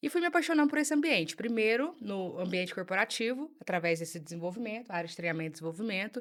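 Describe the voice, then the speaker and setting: Speaking very fast with hardly any pauses, a woman with a strong mineiro accent uses a medium pitch and very wide pitch swings. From Minas Gerais, Brazil (Uberlândia, Triângulo Mineiro). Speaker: psychologist, emotional unblocking specialist. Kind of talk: podcast interview.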